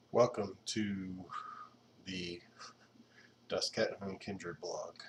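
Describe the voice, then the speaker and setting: A quiet man at a very slow pace. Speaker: video blogger. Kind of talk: casual monologue. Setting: at home at night. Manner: quiet, low voice; hesitant, many fillers.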